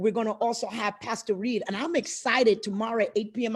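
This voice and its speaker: Somewhat breathy and animated in tone, a woman speaks at a fairly quick pace with a fairly high pitch. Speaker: pastor. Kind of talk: live-stream talk show. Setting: live video stream.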